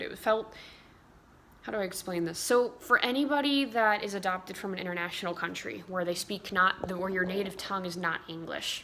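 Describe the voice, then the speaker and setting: Using an unremarkable speaking voice, a woman with an American accent talks at a fairly quick pace, her medium pitch rising and falling in an ordinary way. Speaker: vlogger. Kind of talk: casual chat.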